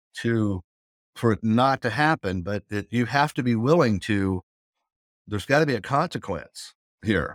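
A man with a Southern US accent, medium pitch and ordinary pitch variation, at a moderate pace on a very clean recording with a silent background. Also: dry, close sound with no echo. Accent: Southern US (Oklahoma). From US South, southern Oklahoma. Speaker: addiction interventionist. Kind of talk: casual interview.

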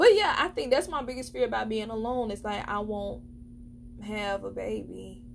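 A woman with an American accent in an animated tone at a moderate pace, over noticeable background noise. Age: 20s. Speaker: podcast host. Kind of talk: casual solo podcast monologue. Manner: animated, chatty.

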